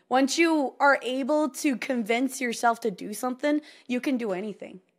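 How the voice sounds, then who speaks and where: Someone with an American accent speaks loudly at a moderate pace with ordinary pitch variation. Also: woman. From Texas. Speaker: content creator. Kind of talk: casual chat.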